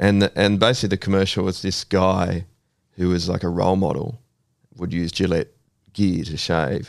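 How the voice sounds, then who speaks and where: With an Australian accent, a man speaks in a very deep, low voice at a moderate pace with fairly even intonation over a quiet background. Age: 40s. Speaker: counsellor. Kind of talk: casual chat.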